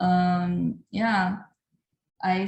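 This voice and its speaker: This is a woman speaking at a medium pitch. Her voice is somewhat breathy. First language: Chinese. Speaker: artist. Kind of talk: talk to an audience. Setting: video call. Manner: halting.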